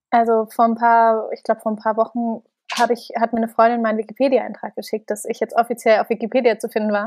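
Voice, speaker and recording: In a dry, close recording with no echo and a quiet background, a woman with a fairly high pitch speaks very fast in a monotone with flat intonation. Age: 20s. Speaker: company founder and author. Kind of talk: casual interview.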